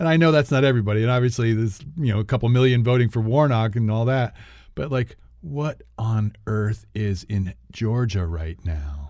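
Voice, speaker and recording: Heard on a very clean recording with a silent background, a man with a plain, everyday voice speaks at a medium pitch and a moderate pace with lively intonation. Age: 60s. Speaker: podcast co-host. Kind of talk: casual chat.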